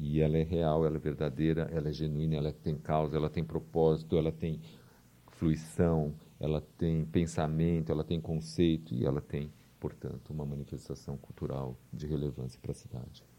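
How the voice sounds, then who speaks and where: A man's very deep, low voice, dark and mellow in tone, with monotone, flat intonation. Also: moderate pace. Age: 50s. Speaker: cultural centre director. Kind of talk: radio interview.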